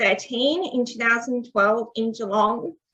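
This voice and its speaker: An Australian accent marks this woman's high-pitched speech, fairly slow with ordinary pitch variation. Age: 20s. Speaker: deaf athlete. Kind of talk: presentation. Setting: online event.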